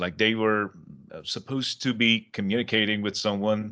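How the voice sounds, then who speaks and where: Against a quiet background, a man with a fairly low pitch and a bright, sharp tone speaks at a fairly quick pace with fairly even intonation. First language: Persian. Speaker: English teacher and podcast host. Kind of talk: casual interview.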